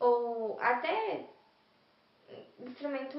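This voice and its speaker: A woman speaks at a high pitch with fairly even intonation. Audible room echo and noticeable background noise fill the recording. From Brazil, São Paulo city. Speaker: university student. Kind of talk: interview testimony.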